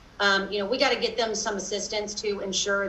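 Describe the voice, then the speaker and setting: The speaker has a Kentucky accent and a monotone, flat intonation. Audible room echo and noticeable background noise fill the recording. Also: woman. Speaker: lawyer and advocacy group director. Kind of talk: interview. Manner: many fillers and restarts.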